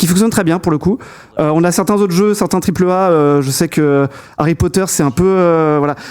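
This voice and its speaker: A man with a high pitch talks at a fairly quick pace, his pitch varying in an ordinary way. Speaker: tech podcast host. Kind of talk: casual tech podcast discussion. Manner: fast; halting, many fillers.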